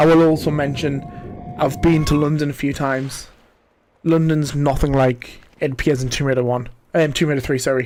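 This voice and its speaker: The speaker has a Geordie accent. The pace is moderate. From northern England, Newcastle area (Geordie). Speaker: gaming streamer. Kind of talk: livestream gameplay commentary. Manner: casual, chatty.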